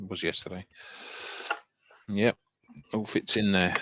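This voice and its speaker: A man speaks with a fairly low pitch and fairly even intonation. The sound is dry and close, with no echo. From southern England, Sussex. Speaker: artist. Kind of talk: casual chat.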